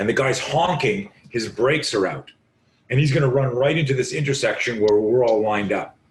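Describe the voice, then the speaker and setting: Lively intonation marks this man's speech, delivered at a fairly quick pace. His voice is somewhat breathy. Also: medium pitch for a man. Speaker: self-defense instructor. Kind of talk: podcast interview. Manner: animated.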